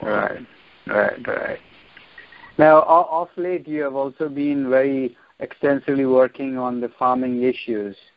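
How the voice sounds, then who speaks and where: In an unremarkable speaking voice, the speaker talks at a fairly slow pace. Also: man, fairly high pitch for a man, fairly even intonation. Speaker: interviewer, show host. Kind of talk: interview questions.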